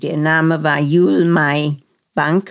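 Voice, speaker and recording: A woman's very deep, low voice at a very slow pace. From Germany, Berlin. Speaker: Holocaust survivor. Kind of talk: interview testimony. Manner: halting, searching for German words.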